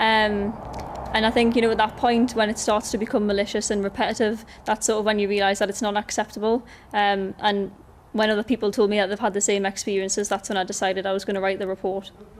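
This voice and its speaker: Very fast, flat, monotone speech from a woman in a Geordie accent. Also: medium pitch for a woman. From North East England, Gateshead. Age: 20s. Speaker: university student. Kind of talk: news interview. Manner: hesitant, many fillers.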